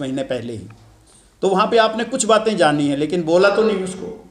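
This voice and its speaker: A man speaks at a moderate pace. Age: 70s. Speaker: event organizer addressing students. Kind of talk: speech to students at an event.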